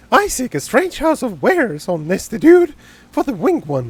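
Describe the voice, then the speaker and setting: A man's put-on character voice, squeaky and extremely high in pitch, at a moderate pace. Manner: wacky, erratic.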